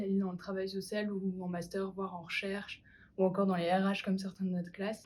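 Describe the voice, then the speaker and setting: A woman talks at a fairly quick pace in a medium-pitched voice. Her tone is dark and mellow, and somewhat breathy. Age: 20s. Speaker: university student. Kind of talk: student testimony.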